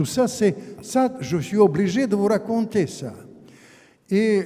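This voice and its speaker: A man speaks very slowly in a high pitch with a Russian accent. Noticeable background noise can be heard. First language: Russian (speaking French). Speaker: author and former diplomat. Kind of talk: public lecture. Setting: conference hall with audience. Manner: halting, with repetitions.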